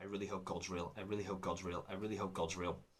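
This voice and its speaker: A man speaks in an English accent. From England. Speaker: comedian. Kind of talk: recorded talk.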